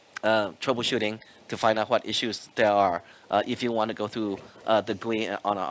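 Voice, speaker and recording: Flat, monotone intonation marks this man's speech. His pitch is fairly low. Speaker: product manager. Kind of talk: conference talk. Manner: fast.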